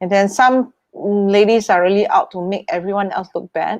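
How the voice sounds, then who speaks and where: Her delivery holds a moderate pace. Nothing can be heard behind the woman. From Singapore. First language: Chinese. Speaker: wealth manager and performer. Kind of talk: interview conversation. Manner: halting, many fillers; loud, boisterous.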